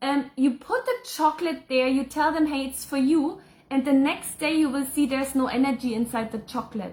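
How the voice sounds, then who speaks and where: A woman's fairly quick, high-pitched speech with fairly even intonation, in a German accent. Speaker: spiritual channeler and psychic. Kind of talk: live Q&A reading viewer comments. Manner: casual, with hesitations.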